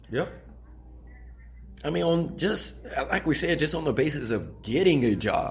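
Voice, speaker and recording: Speaking at a fairly slow pace with long, frequent pauses, a man is heard in audible room echo. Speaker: podcast co-host. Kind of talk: casual discussion.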